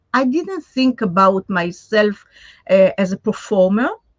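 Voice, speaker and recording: In a somewhat breathy voice, a woman talks fairly slowly. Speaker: puppeteer. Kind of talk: interview. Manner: halting.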